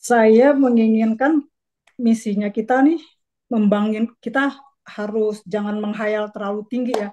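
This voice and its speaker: Speaking at a fairly slow pace, a woman has a dark, mellow tone, a fairly high pitch and fairly even intonation. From Jakarta, Indonesia (Betawi). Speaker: community organization board candidate; candidate. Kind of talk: casual interview. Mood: relaxed, earnest. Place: home room. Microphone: video call.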